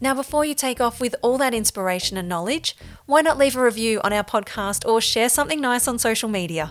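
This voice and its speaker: A woman talks at a very fast pace. Her high-pitched voice has lively intonation. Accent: Australian. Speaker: podcast host. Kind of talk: interview; scripted narration. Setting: mobile podcast van at a field day.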